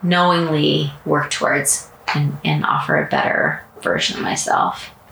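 A woman speaks fairly slowly, with audible room echo and noticeable background noise around her. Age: 40s. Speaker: podcast host. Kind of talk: casual chat. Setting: at home.

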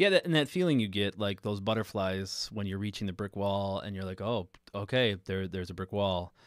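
A man speaks in a normal speaking voice at a fairly low pitch. His pace is fairly quick, with hardly any pauses and fairly even intonation. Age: 30s. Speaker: podcast host and high school music teacher. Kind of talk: casual chat. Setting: live stream.

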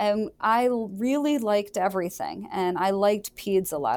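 Speaking in a plain, everyday voice, a woman keeps a medium pitch with ordinary pitch variation in a very clean recording with a silent background. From Michigan. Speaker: orthopedic surgeon. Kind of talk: interview.

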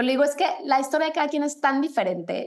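A woman talks at a very fast pace. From Mexico. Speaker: fitness instructor and running coach. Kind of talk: casual interview.

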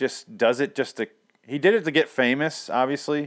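A man talks in an ordinary speaking voice. His pace is fairly quick. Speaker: podcast host. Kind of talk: casual chat. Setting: remote recording.

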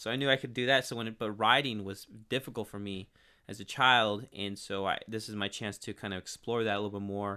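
A man speaks with energy in a Californian accent, his pitch fairly low. He talks at a very fast pace. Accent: Californian American. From Northern California (Turlock area). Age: 30s. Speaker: local TV and sports broadcaster. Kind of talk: casual interview. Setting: studio. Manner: energetic.

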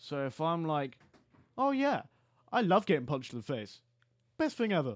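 With an English accent, a man speaks at a moderate pace in a fairly high pitch, his voice making very wide pitch swings on a very clean recording with a silent background. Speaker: podcast host. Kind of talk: casual chat. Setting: studio.

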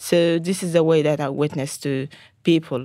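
A woman with a Sudanese accent has a very deep, low pitch and a dark, mellow tone. She speaks at a moderate pace with fairly even intonation, on a very clean recording with a silent background. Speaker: Salvation Army officer. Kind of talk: casual chat. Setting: studio.

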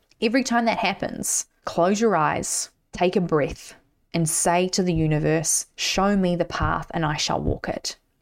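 A woman speaks at a fairly slow pace in a fairly low pitch with vocal fry, an animated tone, ordinary pitch variation and very even loudness. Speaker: mindset coach and podcast host. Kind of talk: pep talk, motivational coaching monologue. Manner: emphatic, direct.

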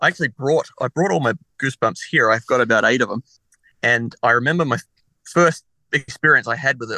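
A man with an Australian accent speaks in a bright, sharp tone with ordinary pitch variation. The sound is dry and close with no echo, over a quiet background. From Australia, Adelaide. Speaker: comedian. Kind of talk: casual chat.

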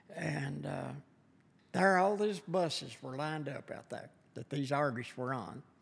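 Against noticeable background noise, a man with a strong Kentucky accent speaks at a fairly slow pace. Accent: strong Southern US, rural Kentucky. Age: 70s. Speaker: lumber business owner. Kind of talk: casual interview. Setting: on location at venue. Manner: slow, halting, storytelling.

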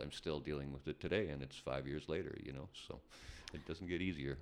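A man with a Canadian accent speaks at a very fast pace with vocal fry. His pitch is very deep and low, with ordinary pitch variation. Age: 50s. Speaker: rock band drummer. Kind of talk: casual interview chat.

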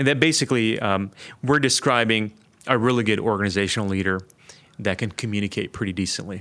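In an American accent, a man with a bright, sharp tone and fairly low pitch talks at a very fast pace with ordinary pitch variation. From US Midwest, Detroit. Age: 40s. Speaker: ministry institute director, former church planter. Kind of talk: interview conversation. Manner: hesitant, many fillers.

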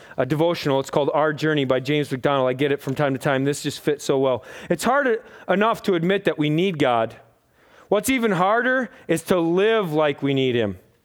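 An American accent, a passionate tone and lively intonation come through at a moderate pace on a very clean recording with a silent background. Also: man. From US. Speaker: pastor. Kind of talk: sermon, preacher in full flow. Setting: church with congregation. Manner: conversational, humorous, passionate.

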